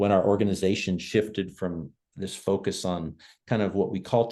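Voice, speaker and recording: A dark, mellow tone over a quiet background. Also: man. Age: 60s. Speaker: nonprofit leader and author. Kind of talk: online discussion on video call. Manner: conversational with frequent fillers.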